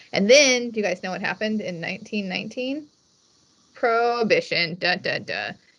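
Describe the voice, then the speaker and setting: The woman's pitch shifts in an ordinary way. Her pace is moderate. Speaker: wine commission executive director. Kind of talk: presentation. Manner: loud; animated.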